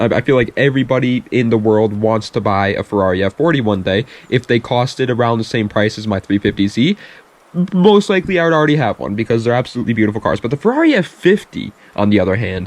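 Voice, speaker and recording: A man speaks at a very fast pace with lively intonation. His pitch sits in the medium range, and the sound is dry and close with no echo. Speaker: car youtuber. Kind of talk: casual vlog commentary. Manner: animated.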